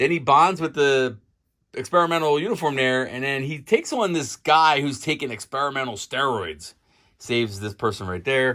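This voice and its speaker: A man speaks loudly with an American accent, a fairly high pitch and a bright, sharp tone. His intonation is lively, and the recording is very clean with a silent background. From Philadelphia, US. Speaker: comic book YouTuber. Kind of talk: casual video review. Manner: fast.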